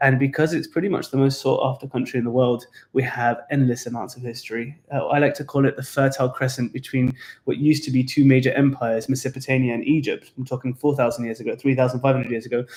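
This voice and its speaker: A man with a British accent speaks very fast in a medium pitch. His voice is somewhat breathy and his intonation monotone and flat. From England. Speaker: tour guide. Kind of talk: casual chat.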